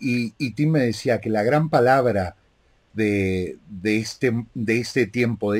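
Against a quiet background, a man talks at a very slow pace, his medium pitch rising and falling in an ordinary way. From Argentina. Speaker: interviewer and live show host; interviewer, live show host. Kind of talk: interview. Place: home room.

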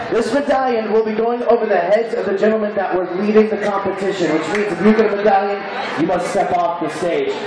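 A loud man with a high pitch, an animated, playful tone and a very fast pace, plus audible room echo and noticeable background noise. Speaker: cruise ship emcee. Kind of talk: game show host, emceeing a live contest with crowd banter. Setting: outdoors on a ship deck stage with audience. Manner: animated, loud, playful, hyping the crowd and teasing contestants. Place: stage.

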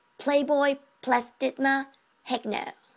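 A woman with a non-native accent, a playful, upbeat tone, and ordinary pitch variation against a quiet background. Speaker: anatomy and physiology student. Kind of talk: educational class presentation. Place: home room. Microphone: webcam.

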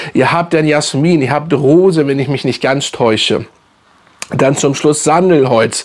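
A man talks at a fairly slow pace. His pitch is fairly high and his intonation fairly even. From Hamburg, northern Germany; Germany. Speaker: fragrance YouTuber. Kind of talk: casual product review video. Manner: casual, halting with many fillers. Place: home room.

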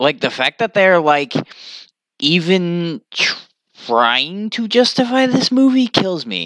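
Over a quiet background, a man speaks at a very slow pace in a bright, sharp tone with very wide pitch swings, the sound dry and free of echo. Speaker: streamer reacting to a post. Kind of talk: casual vlog chat. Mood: ranting, amused disbelief. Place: home room. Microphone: webcam.

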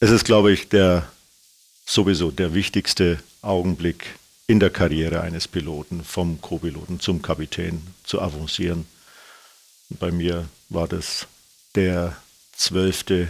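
Very deep and low, a man's voice moves at a fairly slow pace with fairly even intonation and long, frequent pauses. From Bayreuth, Upper Franconia, Bavaria; Bavaria. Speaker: airline captain. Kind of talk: interview. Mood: relaxed, reminiscing, amused. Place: studio. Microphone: lapel.

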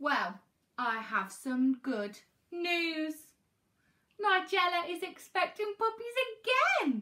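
Putting on a character voice, a woman speaks with an extremely high pitch, a bright, sharp tone, and lively intonation, at a slow pace with long, frequent pauses.

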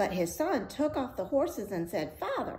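Through noticeable background noise, a woman speaks at a moderate pace in a high pitch with very wide pitch swings. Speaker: storyteller reading aloud. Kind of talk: fairy-tale audiobook reading, cozy read-aloud storytelling. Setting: video read-aloud. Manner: soothing and friendly.

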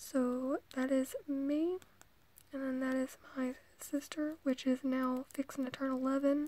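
Soft-spoken delivery in a gentle tone, with dry sound and no echo. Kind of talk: casual vlog chat. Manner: soft, gentle ASMR speaking voice. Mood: relaxed, nostalgic. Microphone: phone near.

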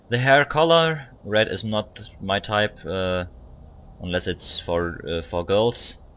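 Speaking with a non-native accent, a man talks at a very slow pace. His voice is fairly low, with lively intonation. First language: not English. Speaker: video game player. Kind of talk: live gameplay commentary. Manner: hesitant, many filler words.

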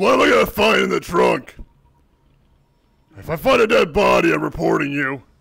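A man speaks in a raspy voice at a moderate pace. His pauses are long and frequent. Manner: brash, shouty, swearing.

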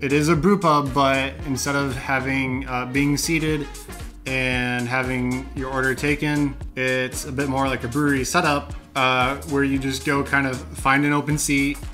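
Music plays clearly in the background. A man speaks with fairly even intonation. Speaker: brewery reviewer. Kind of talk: review commentary. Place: home room. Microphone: camera far.

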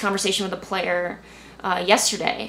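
With an American accent, a woman speaks at a fairly quick pace over light background noise. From US suburbs. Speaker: youth soccer coach. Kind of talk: interview. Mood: calm, reflective. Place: home room.

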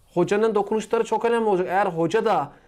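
Against a quiet background, the speaker goes at a very fast pace with ordinary pitch variation. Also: man. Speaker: football channel co-host. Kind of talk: sports preview discussion. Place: office. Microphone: lapel.

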